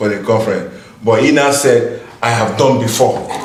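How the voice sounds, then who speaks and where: A man's voice carries audible room echo. Noticeable background noise can be heard as well. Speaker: conference speaker. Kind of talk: casual interview.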